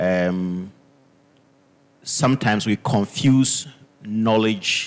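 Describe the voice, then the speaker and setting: A man speaks with a Ghanaian accent and lively intonation. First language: Dagbani. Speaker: linguistics professor. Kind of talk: panel discussion.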